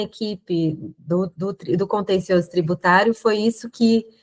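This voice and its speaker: The sound is dry and close, with no echo. A woman speaks at a medium pitch with ordinary pitch variation. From Brazil. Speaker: lawyer. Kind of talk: interview.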